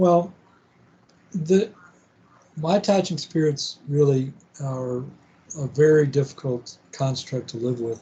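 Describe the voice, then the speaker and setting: A man's somewhat breathy voice has a dark, mellow tone at a fairly high pitch. He speaks very slowly, with long, frequent pauses. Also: ordinary pitch variation. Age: 60s. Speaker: podcast host. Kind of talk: interview conversation. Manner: halting.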